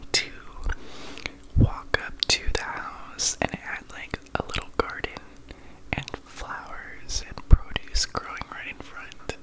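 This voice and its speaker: Very slow whispering amid noticeable background noise. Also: man. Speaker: ASMR creator. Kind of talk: ASMR nighttime chat, casual storytelling. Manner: soft, gentle, calm.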